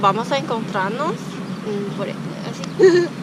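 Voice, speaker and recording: In a Chinese accent, a woman speaks at a very slow pace with a fairly high pitch over noticeable background noise. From Taiwan. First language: Chinese (speaking Spanish). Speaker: youtuber. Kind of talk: casual interview. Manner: halting, many fillers.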